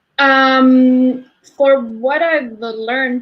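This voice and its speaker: A woman speaks at a high pitch in a Spanish accent. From Argentina. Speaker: energy healer. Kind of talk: interview. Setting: live stream. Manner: halting.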